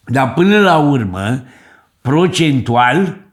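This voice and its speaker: A man speaks at a very slow pace. His pitch sits at a medium level. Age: 60s. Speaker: finance YouTuber. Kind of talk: video commentary. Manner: casual.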